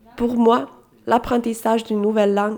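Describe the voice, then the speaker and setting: A woman speaks with a Finnish accent. Her pitch is fairly high. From Finland. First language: Finnish (speaking French). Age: 20s. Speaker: volunteer at a school. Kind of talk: scripted narration.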